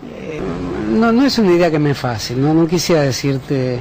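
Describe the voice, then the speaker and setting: Noticeable background noise surrounds a man as he speaks at a moderate pace. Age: 60s. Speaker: intellectual, interview guest. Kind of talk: radio interview. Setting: radio studio. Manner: halting, hesitant with fillers.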